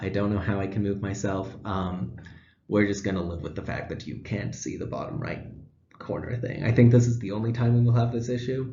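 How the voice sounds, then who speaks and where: A man with a fairly low pitch, somewhat breathy, at a fairly quick pace. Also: ordinary pitch variation. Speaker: student teacher. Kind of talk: class presentation. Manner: fast.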